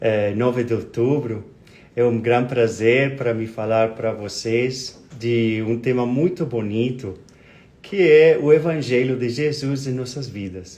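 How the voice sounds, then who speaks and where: Someone with a Spanish accent speaks at a fairly slow pace in a dark, mellow tone. Pitch varies in an ordinary way, and audible room echo surrounds the voice. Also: man, medium pitch for a man. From Colombia. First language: Spanish (speaking Portuguese). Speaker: spiritist speaker. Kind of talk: lecture. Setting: live stream. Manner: halting.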